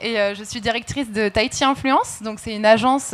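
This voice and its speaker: Here a woman has a normal speaking voice with a fairly high pitch. She speaks at a moderate pace with fairly even intonation. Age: 20s. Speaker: influencer marketing agency director. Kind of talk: panel discussion.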